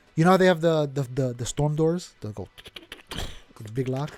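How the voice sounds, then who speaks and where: A man's animated voice at a moderate pace, with ordinary pitch variation. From New York (Puerto Rican family). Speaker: podcast co-host. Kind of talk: casual chat.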